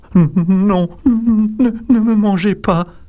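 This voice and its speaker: He puts on a character voice, pitched high for a man. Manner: pleading.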